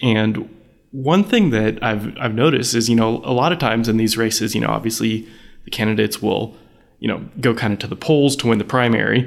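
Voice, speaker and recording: Speaking in a normal speaking voice, a man holds a medium pitch with ordinary pitch variation. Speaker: political journalist. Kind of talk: interview.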